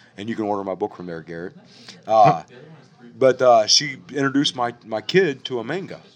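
A man with an American accent and an ordinary speaking voice speaks at medium pitch and a fairly quick pace. His intonation is lively, with big swings in loudness. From Ohio. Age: 40s. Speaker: writer and poet. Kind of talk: casual chat. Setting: cafe.

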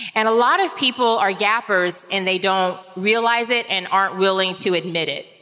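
Against noticeable background noise, a woman with a medium-pitched voice and ordinary pitch variation talks at a moderate pace with hardly any pauses. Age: 40s. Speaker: reinvention strategist and author. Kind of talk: live talk before an audience. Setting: live event with audience.

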